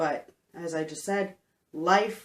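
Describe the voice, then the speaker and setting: A woman speaks with a Canadian accent. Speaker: homesteader. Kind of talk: casual vlog talk.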